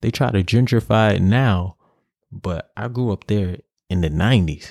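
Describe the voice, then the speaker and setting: A man with a New York accent, fairly low-pitched, at a fairly slow pace, very wide pitch swings and an animated tone, in a very clean, dry, close recording with a silent background and no echo. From New York City, Harlem. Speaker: podcast host. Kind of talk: solo rant.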